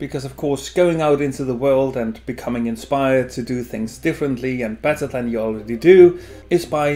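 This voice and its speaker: Delivered at a moderate pace, the speech shows ordinary pitch variation. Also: man. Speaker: beer vlogger. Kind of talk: opinion commentary. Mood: sarcastic, critical. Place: home room. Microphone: camera far.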